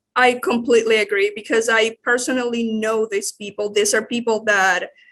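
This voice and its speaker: A woman speaks with a Spanish accent at a fairly high pitch. Her pace is moderate and her intonation fairly even. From Nicaragua, Managua. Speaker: church staff member, legal immigrant. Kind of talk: interview. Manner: halting.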